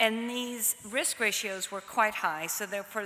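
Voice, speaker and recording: A woman's medium-pitched voice in a New York accent. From US Northeast, New York. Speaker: pediatric oncology nutrition researcher. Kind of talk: conference lecture.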